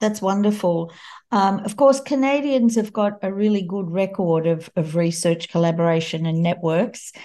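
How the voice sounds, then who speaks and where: A woman talks with an Australian accent at a medium pitch. Her tone is dark and mellow. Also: ordinary pitch variation, moderate pace. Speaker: podcast host, charity CEO. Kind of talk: interview; scripted narration.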